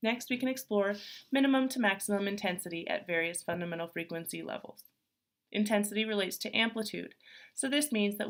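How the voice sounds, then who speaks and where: A woman speaks very fast in a breathy voice at a medium pitch. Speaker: speech pathology student. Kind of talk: class presentation. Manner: formal.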